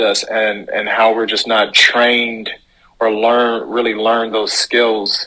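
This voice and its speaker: His intonation is monotone and flat. The man speaks at a fairly slow pace and a medium pitch. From Chicago, US Midwest. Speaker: actor and life coach. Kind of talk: casual interview. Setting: podcast.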